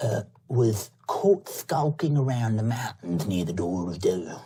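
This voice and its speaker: This put-on character voice is low in pitch and delivered at a fairly slow pace. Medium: actual play. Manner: eager, gleeful, chatty.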